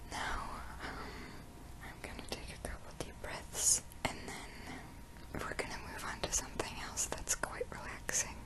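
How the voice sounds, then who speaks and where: Whispering at a fairly slow pace, someone leaves long, frequent pauses amid noticeable background noise. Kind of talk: ASMR breathing guidance. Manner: soft-spoken, whispered.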